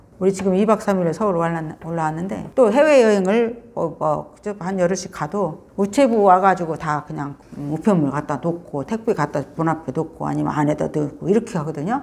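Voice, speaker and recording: With a plain, everyday voice, a woman talks fairly low in pitch at a fairly quick pace, with lively intonation and hardly any pauses. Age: 60s. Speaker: author and rural pension owner. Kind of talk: interview. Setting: visiting Seoul. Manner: casual, conversational with fillers.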